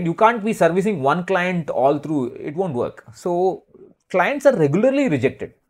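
A man speaks at a fairly quick pace in a high voice, his pitch swinging very widely. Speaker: financial planning expert who curates a list of advisors. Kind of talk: casual interview.

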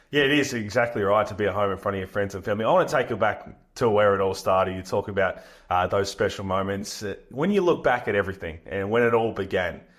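A man with an Australian accent speaks very fast in a fairly low voice. His pitch varies in an ordinary way against a quiet background. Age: 30s. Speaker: podcast host, former basketball player. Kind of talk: interview.

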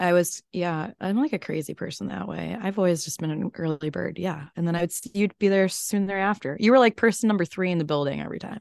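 Speaking very fast with hardly any pauses, a woman with an American accent uses a fairly low pitch, ordinary pitch variation and big swings in loudness, recorded dry and close with no echo. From Chicago, US Midwest. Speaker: podcast interviewer, former TV reporter. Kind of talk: casual chat. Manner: animated.

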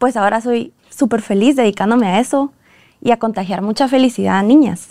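A woman's fairly high voice, a normal speaking voice with ordinary pitch variation, in a dry, close sound with no echo. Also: very clean recording, silent background. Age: 20s. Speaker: dance academy founder and teacher. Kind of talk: casual interview chat.

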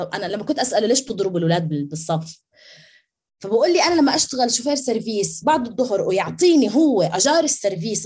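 A woman with a medium pitch and a dark, mellow, somewhat breathy tone speaks at a moderate pace with very wide pitch swings. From Jordan. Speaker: education researcher and academic. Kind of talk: podcast interview.

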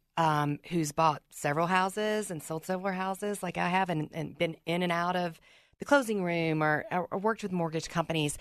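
Over a quiet background, the speaker uses a Southern US accent with ordinary pitch variation. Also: woman. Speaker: podcaster and title processor. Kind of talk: casual radio interview. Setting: studio.

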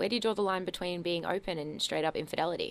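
A woman speaks with an Australian accent. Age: 20s. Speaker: radio host. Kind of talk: casual chat. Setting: studio.

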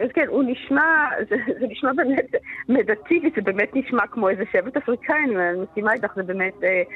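Very wide pitch swings in a woman's voice. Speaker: voice teacher and researcher. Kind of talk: interview.

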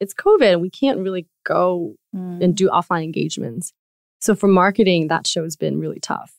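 A woman speaks at a moderate pace in a Taiwanese-American accent. The sound is dry and close, with no echo. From Taiwan, moved to the US at 11 or 12. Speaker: podcast network co-founder. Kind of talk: interview conversation.

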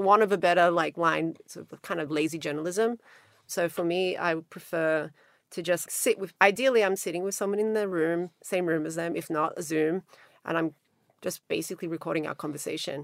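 Over a silent background on a very clean recording, a woman with an Australian accent speaks at fairly low pitch, a fairly quick pace and with fairly even intonation. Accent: Australian twang. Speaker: magazine founder. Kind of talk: interview.

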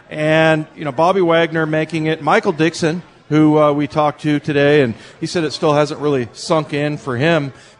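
Over a quiet background, a man with a plain, everyday voice and a fairly high pitch speaks at a moderate pace with fairly even intonation. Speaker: radio host. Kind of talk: live sports radio show. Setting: live show at a restaurant bar. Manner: conversational.

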